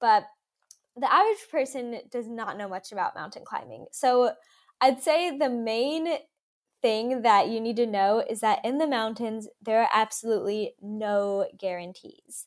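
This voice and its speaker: This is a woman with an ordinary speaking voice, pitched fairly high with ordinary pitch variation. She talks at a fairly slow pace on a very clean recording with a silent background. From Kentucky, US. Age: young. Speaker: mountain climber. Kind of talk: interview.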